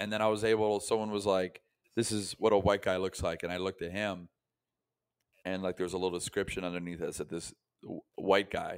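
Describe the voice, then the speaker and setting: On a very clean recording with a silent background, a normal speaking voice moves at a fairly quick pace. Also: man. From US South, Tampa, Florida. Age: 20s. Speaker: comedian. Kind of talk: casual chat.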